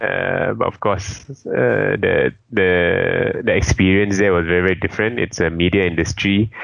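Moderate-paced speech with hardly any pauses and very even loudness, over noticeable background noise. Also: man. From Malaysia (Petaling Jaya area). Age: 30s. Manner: hesitant, many fillers.

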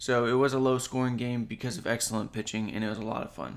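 A man of medium pitch at a fairly quick pace, with fairly even intonation. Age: 30s. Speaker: sports podcast host. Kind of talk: casual solo sports podcast.

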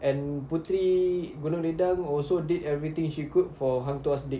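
The speaker has a Malaysian accent. The pace is moderate. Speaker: podcast host. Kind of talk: casual banter. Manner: joking, sarcastic.

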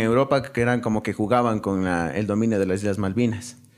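The speaker uses an ordinary speaking voice with fairly even intonation. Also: man. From Ecuador. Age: young. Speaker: university student. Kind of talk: casual chat.

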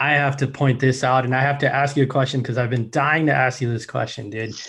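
A medium-pitched man with a Midwestern accent against a quiet background. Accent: American, Midwest. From Chicago, US. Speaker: podcast host. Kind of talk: interview.

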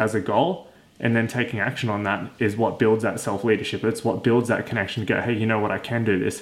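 A man with an unremarkable speaking voice speaks at a medium pitch and a fairly quick pace. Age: 20s. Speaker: fitness podcast host. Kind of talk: solo podcast monologue. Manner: casual, conversational.

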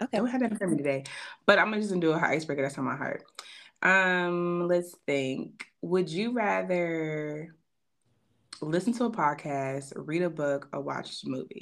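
An unremarkable speaking voice with lively intonation moves at a moderate pace on a very clean recording with a silent background. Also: woman, fairly low pitch for a woman. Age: 30s. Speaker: podcast host. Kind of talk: casual chat.

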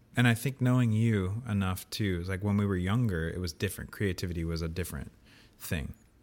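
On a very clean recording with a silent background, a man with an American accent and an ordinary speaking voice talks at a fairly quick pace with a fairly low pitch and ordinary pitch variation. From US. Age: 30s. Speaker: old friend of the host. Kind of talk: casual chat. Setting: in person recording.

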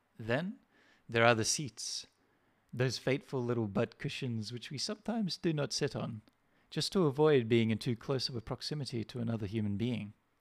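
Fairly quick and medium in pitch, a man with a plain, everyday voice and ordinary pitch variation is heard on a very clean recording with a silent background and a dry, close sound with no echo. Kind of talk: poetry reading, satirical spoken-word essay.

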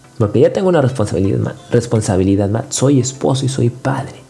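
Noticeable noise fills the background as the man talks at a middle pitch that varies in an ordinary way. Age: 30s. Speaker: podcast host. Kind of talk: motivational monologue. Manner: halting.

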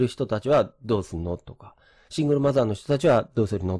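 A man speaks in an unremarkable speaking voice at a medium pitch. His intonation is lively, and the recording is very clean with a silent background. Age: 50s. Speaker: real estate agent and former programmer. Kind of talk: lecture. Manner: casual with many fillers.

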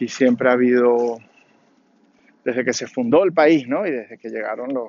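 A man's medium-pitched voice, slightly mellow with a slightly husky edge, fairly even in intonation and fairly slow in pace

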